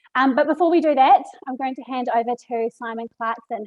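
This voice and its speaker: A woman with a New Zealand accent. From New Zealand, Marlborough Sounds. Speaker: webinar host. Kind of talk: event hosting.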